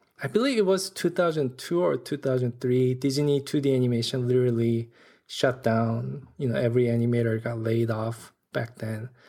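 In a Korean accent, a man with a dark, mellow tone speaks at medium pitch and a moderate pace with ordinary pitch variation. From South Korea. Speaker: animation director and storyboard artist. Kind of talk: casual interview.

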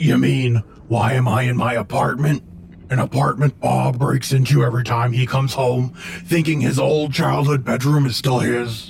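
Using a put-on character voice, a man speaks at a medium pitch. His pace is moderate, and clear background noise can be heard. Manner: laid-back, sardonic.

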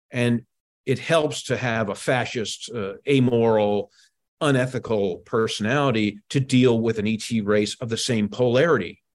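Speaking at a moderate pace with fairly even intonation, a man has medium pitch and an unremarkable speaking voice. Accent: American. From Washington, D.C. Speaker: author and historian. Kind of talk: interview.

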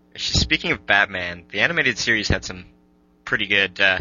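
The speaking rate is moderate. Behind the voice, music can be heard. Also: man. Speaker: podcast host. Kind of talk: casual chat.

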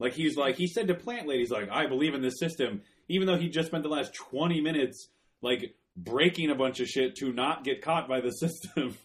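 This man's voice is pitched fairly high, and its rise and fall is ordinary. He talks fairly quickly. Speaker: podcast co-host. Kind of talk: casual chat. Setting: studio. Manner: loud.

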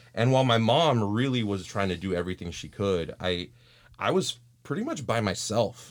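Using an American accent, a man with a medium pitch and an ordinary speaking voice talks at a moderate pace with lively intonation. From Texas. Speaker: youth pastor. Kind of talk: casual interview.

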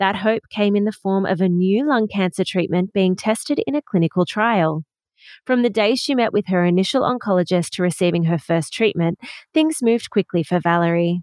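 With an Australian accent, a woman speaks at a medium pitch and a fairly quick pace, her intonation lively and her loudness very even, in a dry, close sound with no echo over a quiet background. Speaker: podcast host. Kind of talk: scripted narration.

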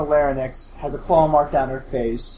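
A man talks in a fairly high pitch, and audible room echo hangs on his voice. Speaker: game master of a tabletop role-playing podcast. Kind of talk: tabletop role-play narration.

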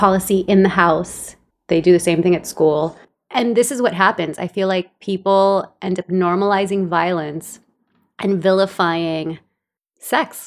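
On a very clean recording with a silent background, a woman with a Californian accent speaks at a fairly slow pace. Her pitch is medium and her intonation fairly even. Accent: Californian American English. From El Salvador, raised in Los Angeles. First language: Spanish. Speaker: podcast co-host, stay-at-home mom and writer. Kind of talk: casual chat.

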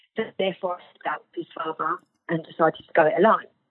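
A woman speaks in a passionate tone. Her pitch is fairly low. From England. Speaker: novelist. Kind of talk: interview. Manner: animated.

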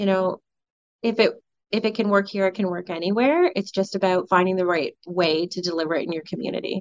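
A woman talks fairly quickly in a Canadian accent with ordinary pitch variation. Hers is an unremarkable speaking voice. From Ontario, Canada. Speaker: police sergeant. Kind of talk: radio interview.

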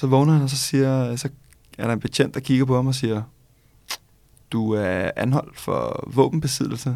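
Fairly slow, fairly even speech in a dark, mellow tone, broken by long, frequent pauses. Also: man, medium pitch for a man. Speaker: law student and podcast co-host. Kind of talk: casual chat.

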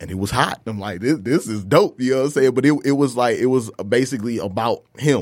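A man with an American accent and an ordinary speaking voice, medium pitch with ordinary pitch variation, at a fairly quick pace with hardly any pauses. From Detroit, Michigan. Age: 30s. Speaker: hip hop artist. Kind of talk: casual chat.

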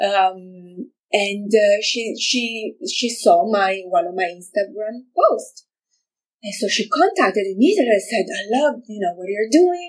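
A woman with an Italian accent talks at a very slow pace. Her fairly high voice moves through very wide pitch swings. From Italy, Milan. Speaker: fashion designer. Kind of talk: interview. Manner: halting.

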